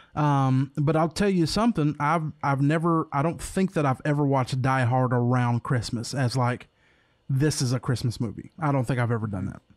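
A man's fairly high, normal speaking voice with ordinary pitch variation at a moderate pace. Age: 30s. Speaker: podcast co-host. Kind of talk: casual chat.

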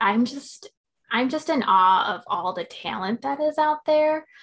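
A woman with an American accent speaks in a normal speaking voice, at a fairly slow pace with lively intonation. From Illinois. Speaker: crafts business owner. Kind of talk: casual interview chat.

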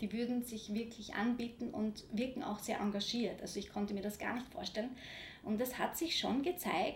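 Against noticeable background noise and audible room echo, a woman with a fairly high voice speaks at a moderate pace. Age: 30s. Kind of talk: interview.

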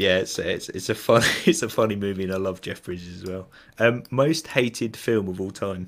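A man with an unremarkable speaking voice, fairly low in pitch with ordinary variation, at a moderate pace. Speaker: podcast host. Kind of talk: casual chat, livestream interview. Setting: video call livestream.

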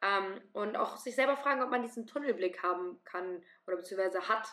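A woman talks at a fairly quick pace. Her pitch is medium, with ordinary variation. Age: 20s. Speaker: medical student. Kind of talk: casual interview. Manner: animated.

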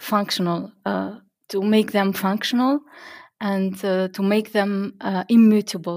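With an Arabic accent, the speaker moves at a very slow pace in a monotone, flat intonation. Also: woman. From Tunisia. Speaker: software developer and conference speaker. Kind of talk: interview. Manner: halting, many fillers.

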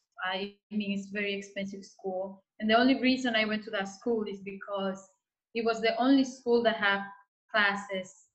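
At a moderate pace, a woman with a Spanish accent speaks at a fairly high pitch in a monotone, flat intonation. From Dominican Republic. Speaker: podcast panelist, Dominican immigrant. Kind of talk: casual panel discussion.

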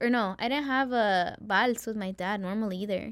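An ordinary speaking voice belongs to a woman with a fairly high pitch and ordinary pitch variation. She talks at a moderate pace on a very clean recording with a silent background. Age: 20s. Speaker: former client of a photography studio. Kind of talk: casual chat.

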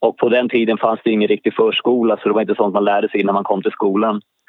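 A man of medium pitch speaks at a very fast pace. His intonation is monotone and flat. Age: 40s. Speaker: convicted murderer. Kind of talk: interview. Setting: phone call.

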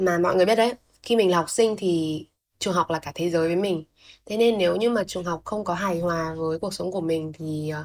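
An unremarkable speaking voice from a woman, fairly low in pitch, at a fairly quick pace with fairly even intonation, on a very clean recording with a silent background. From Vietnam, Thanh Hóa province. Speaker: university student and youtuber. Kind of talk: personal testimony in interview.

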